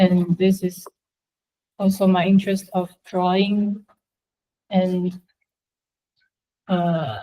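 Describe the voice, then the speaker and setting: A very slow, somewhat breathy voice with a dark, mellow tone, monotone, flat intonation, long, frequent pauses and a Chinese accent. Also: woman, medium pitch for a woman. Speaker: university student. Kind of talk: class presentation. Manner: halting, many fillers.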